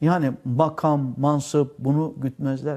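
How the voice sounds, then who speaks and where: A man speaks with a dark, mellow tone. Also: very clean recording, silent background. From Turkey, Antalya. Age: 60s. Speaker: exiled former school administrator, now cook. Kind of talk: interview testimony.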